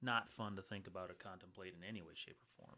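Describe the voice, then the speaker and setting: Talking at a very fast pace, a man with an American accent keeps his intonation fairly even. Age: 20s. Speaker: podcast host. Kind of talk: casual chat.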